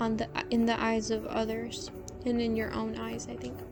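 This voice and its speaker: A soft-spoken woman talks in a calm tone. Music plays in the background. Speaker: student and ASMR drawing creator. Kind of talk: casual soft-spoken talk to camera. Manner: soft-spoken, calm.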